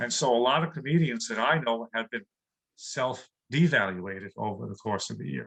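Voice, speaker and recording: With a New York accent, a man speaks at a moderate pace and medium pitch, his lively intonation carrying vocal fry and big swings in loudness. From New York City. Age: 60s. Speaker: comedian. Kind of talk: interview.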